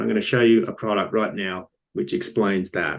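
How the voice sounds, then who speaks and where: A man with an Australian accent speaks at a moderate pace. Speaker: company founder. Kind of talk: business pitch presentation. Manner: hesitant, many fillers.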